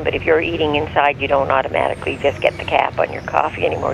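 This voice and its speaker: There is clear background noise in this clip. The voice belongs to a man. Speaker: parent of the host. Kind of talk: casual chat. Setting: phone call. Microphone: phone line recorded via earpiece.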